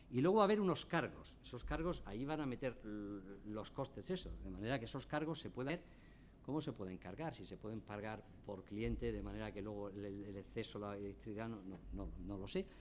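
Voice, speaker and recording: Talking at a fairly quick pace, a man is heard with audible echo from the room. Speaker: energy company executive. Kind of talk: conference talk. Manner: drops word endings.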